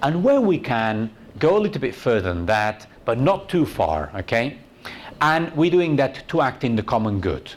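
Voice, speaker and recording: Very wide pitch swings at a moderate pace. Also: man, medium pitch for a man. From Spain. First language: Spanish. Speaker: university tourism researcher, conference speaker. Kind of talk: conference talk. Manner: conversational, frequent "okay?" and fillers.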